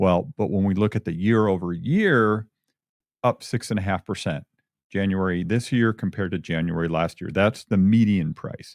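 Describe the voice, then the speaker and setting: A man with an ordinary speaking voice, fairly low pitch and ordinary pitch variation at a moderate pace, dry, close sound with no echo against a quiet background. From Michigan. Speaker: real estate agent and radio host. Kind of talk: casual radio talk show.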